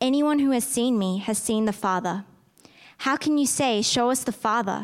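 In a very clean recording with a silent background, a normal speaking voice moves at a moderate pace. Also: woman. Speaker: scripture reader at church. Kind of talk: reading aloud. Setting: church.

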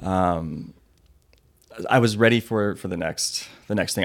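A man with an American accent talks at a fairly slow pace, his pitch fairly low with ordinary pitch variation. It is an ordinary speaking voice. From Washington state, US. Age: 30s. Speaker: plumbing business owner and athlete. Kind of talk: interview.

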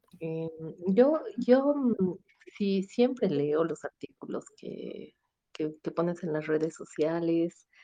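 This woman has a fairly low pitch and a dark, mellow tone, with lively intonation and big swings in loudness. She speaks at a very slow pace with long, frequent pauses. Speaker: listener calling in. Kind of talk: casual chat. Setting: online live call.

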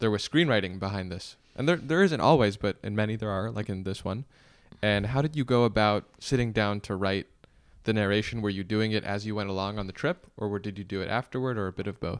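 In a very clean recording with a silent background, a man with a normal speaking voice talks at a fairly quick pace, his pitch fairly low with ordinary variation. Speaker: podcast host.

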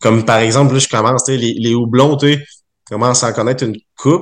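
Someone speaks in a Quebec accent at a moderate pace with fairly even intonation. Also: man. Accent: Québécois French. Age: 20s. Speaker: brewer. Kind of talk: casual chat. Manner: halting.

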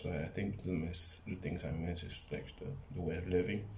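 A man speaks at a moderate pace with an American accent. Music plays in the background, and the room echo is audible. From Los Angeles, California. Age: 20s. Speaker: podcaster and fitness trainer. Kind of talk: casual monologue. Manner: halting, with frequent repetitions.

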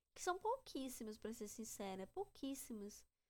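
At a moderate pace, a woman speaks in a fairly high voice with a dark, mellow tone. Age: 20s. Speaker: podcaster. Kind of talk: casual monologue.

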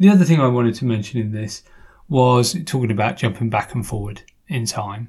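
A man at medium pitch with an English accent, somewhat breathy, with lively intonation and a fairly quick pace. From England. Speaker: podcast host. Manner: playful, joking.

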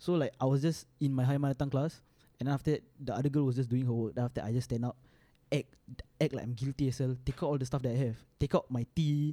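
Speaking very fast with a Singaporean accent, a man with medium pitch and a dark, mellow tone keeps his intonation fairly even in a dry, close sound with no echo. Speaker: podcast co-host. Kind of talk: casual chat.

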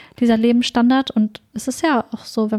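Here a woman's somewhat breathy voice has a dark, mellow tone. Her intonation is fairly even, and the sound is dry and close with no echo. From northern Germany, Ostfriesland. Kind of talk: casual chat.

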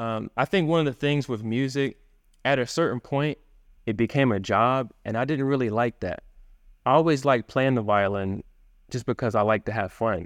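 A man with a plain, everyday voice talks at a medium pitch and a moderate pace, with ordinary pitch variation. The sound is dry and close with no echo, and the background is quiet. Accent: American. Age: young. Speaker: violinist and internet entrepreneur. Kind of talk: interview conversation.

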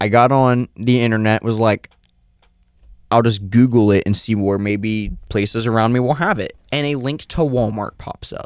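At a moderate pace and with fairly even intonation, a man speaks in a medium pitch with an unremarkable speaking voice. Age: 20s. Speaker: podcast co-host. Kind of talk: casual comedic chat.

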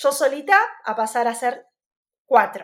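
An Argentine accent comes through on a very clean recording with a silent background. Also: woman. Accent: Rioplatense Argentine Spanish. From Argentina, Buenos Aires province (Arrecifes). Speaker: fashion designer, pregnant stepmother. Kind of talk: interview conversation. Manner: hesitant with many fillers and repetitions.

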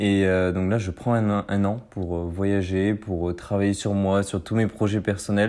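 This man has a fairly low-pitched voice. His tone is dark and mellow. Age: 20s. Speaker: student podcaster. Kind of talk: solo podcast monologue. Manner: halting, many fillers.

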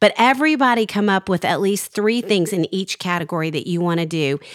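A woman with a normal speaking voice at medium pitch, lively intonation and a moderate pace. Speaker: podcast host. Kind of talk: casual chat. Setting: studio.

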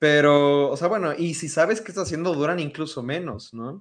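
The man has an unremarkable speaking voice, fairly high in pitch. He talks at a fairly quick pace. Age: 20s. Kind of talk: casual chat.

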